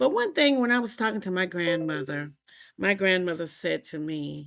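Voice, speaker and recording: In a very clean recording with a silent background, a woman with an American accent speaks at a moderate pace. Her fairly low voice has very wide pitch swings. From US South, South Carolina. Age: 60s. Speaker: podcast guest, church member sharing infertility experience. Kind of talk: interview testimony. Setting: podcast interview. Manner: animated storytelling.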